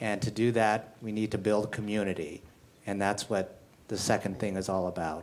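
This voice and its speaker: A man talks at a moderate pace in a fairly low pitch with fairly even intonation, a normal speaking voice. The recording is very clean with a silent background. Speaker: general counsel. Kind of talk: live panel discussion. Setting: stage with audience.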